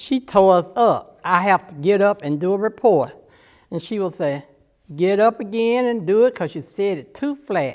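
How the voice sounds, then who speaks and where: A woman with an Alabama accent, medium in pitch, lively in intonation and moderate in pace, on a very clean recording with a silent background. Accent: Southern US (Alabama). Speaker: church member. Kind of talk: oral history testimony. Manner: casual storytelling.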